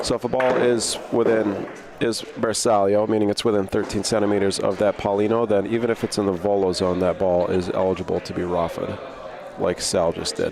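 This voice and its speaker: A man speaks fairly quickly in an East Coast US accent, his pitch fairly low and his intonation fairly even. Noticeable background noise sits behind him. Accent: American East Coast. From American East Coast.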